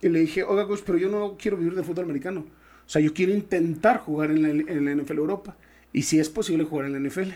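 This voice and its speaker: Speaking very fast with a Mexican accent, a man uses a high pitch, a dark, mellow tone and ordinary pitch variation on a very clean recording with a silent background. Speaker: former pro American football player. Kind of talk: interview storytelling. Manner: halting.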